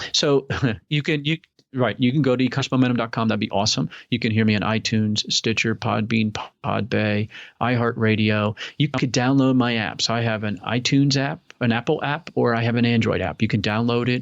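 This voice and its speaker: A man's medium-pitched voice at a fairly quick pace, with ordinary pitch variation and a quiet background. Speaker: podcast host and online seller. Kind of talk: casual interview chat. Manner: fast; animated.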